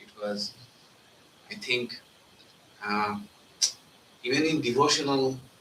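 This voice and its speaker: Amid audible room echo and noticeable background noise, a man speaks at a very slow pace with long, frequent pauses. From India, Bengal. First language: Bengali. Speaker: monk giving spiritual talk. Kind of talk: spiritual talk. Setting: live talk with audience.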